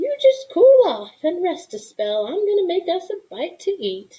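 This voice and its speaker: A woman's put-on character voice, squeaky and extremely high, with very wide pitch swings. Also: moderate pace. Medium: read story. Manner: warm, homey, drawling.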